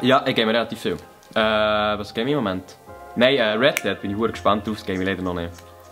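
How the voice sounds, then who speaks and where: Over music in the background, a man with a Bernese accent speaks at a fairly low pitch with ordinary pitch variation. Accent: Bernese Swiss German. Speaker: YouTuber, comedian. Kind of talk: casual talk to camera, Q&A answers.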